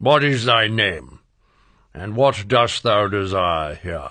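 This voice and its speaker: In a raspy put-on character voice with fairly low pitch, a man speaks at a very slow pace with lively intonation against a quiet background. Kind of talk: archaic storybook speech. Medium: read story.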